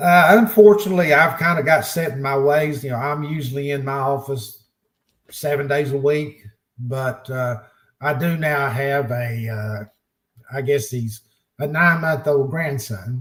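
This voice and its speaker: Somewhat breathy and fairly high, a man's voice moves at a fairly slow pace with ordinary pitch variation. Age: 70s. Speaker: insurance agency owner. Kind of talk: podcast interview. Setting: studio. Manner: halting, many fillers.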